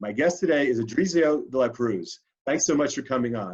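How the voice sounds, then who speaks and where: Here is a man with an American accent and a normal speaking voice. His intonation is lively. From New York City. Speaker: interview show host. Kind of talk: interview. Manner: fast.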